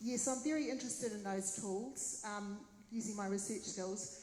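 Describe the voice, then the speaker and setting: Noticeable background noise and audible room echo surround the recording. A woman with a New Zealand accent speaks at a moderate pace with ordinary pitch variation. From New Zealand, Waipā district. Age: 60s. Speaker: mayoral candidate. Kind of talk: Q&A at candidate forum.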